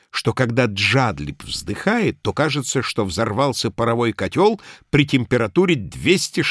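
What comes through is an unforced reading voice.

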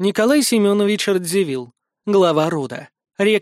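Against a quiet background, this is an unforced reading voice with ordinary pitch variation.

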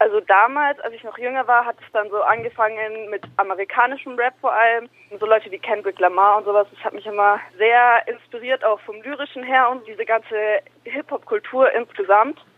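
This plain, everyday voice moves at a fairly quick pace with fairly even intonation. Its loudness swings widely. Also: woman, fairly high pitch for a woman. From Nuremberg, Franconia (moved there young). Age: 20s. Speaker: rapper. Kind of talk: interview.

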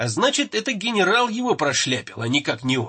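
The text is read aloud in a natural voice.

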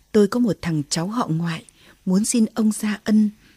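The text is read in a natural voice, its pitch moving by a normal amount.

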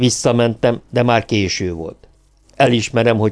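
Reading done in a natural voice.

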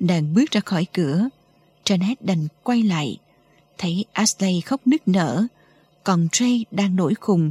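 This is plain reading aloud. The words are read out as written.

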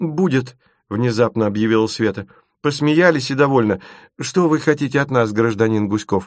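A quiet background behind plain reading aloud

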